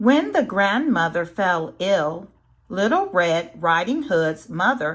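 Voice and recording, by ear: Someone reading aloud in a natural voice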